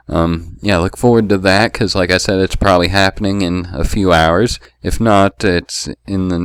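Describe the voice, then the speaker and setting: A man's very deep, low voice at a moderate pace, fairly even in intonation, in a very clean recording with a silent background. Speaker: Pokemon league player and video creator. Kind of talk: casual vlog monologue. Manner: halting, many fillers.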